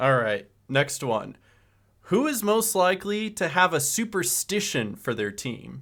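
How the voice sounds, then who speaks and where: A man's high-pitched voice with very wide pitch swings at a fairly slow pace, on a very clean recording with a silent background. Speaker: sports podcast host. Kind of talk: casual chat. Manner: loud; animated.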